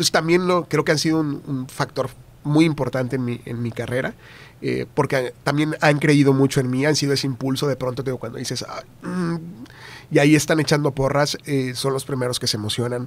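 A man with a plain, everyday voice talks at a fairly quick pace. His pitch is fairly high and his intonation fairly even. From Tamaulipas, northern Mexico. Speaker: TV news anchor and journalist. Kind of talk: casual interview chat.

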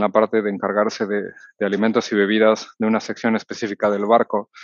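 Monotone and flat, a man's fairly low voice carries little change in intonation. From Mexico City. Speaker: cruise ship executive sous-chef. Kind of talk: interview. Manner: halting, many fillers.

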